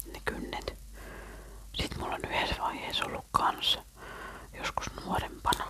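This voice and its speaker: A woman whispering at a fairly slow pace with long, frequent pauses, over noticeable background noise. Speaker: ASMR creator. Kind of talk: casual ASMR chat to camera. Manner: whispered.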